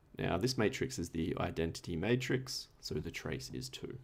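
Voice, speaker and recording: A man with an Australian accent speaks fairly slowly in a very deep, low voice with vocal fry. His pitch swings very widely. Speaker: tutor. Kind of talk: tutorial. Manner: casual.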